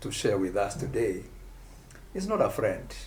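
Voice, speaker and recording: The voice is somewhat breathy, and audible room echo surrounds it. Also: man. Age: 60s. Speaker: pastor. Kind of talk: casual chat.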